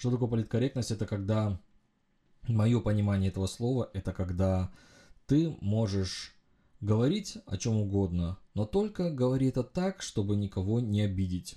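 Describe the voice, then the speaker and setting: With long, frequent pauses and very even loudness, a man speaks at a moderate pace in a fairly low, somewhat breathy voice with a dark, mellow tone and ordinary pitch variation, on a very clean recording with a silent background. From Uzbekistan, then Germany as a teen. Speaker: podcast host, engineering consultant. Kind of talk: solo monologue podcast. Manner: hesitant, frequent filler sounds.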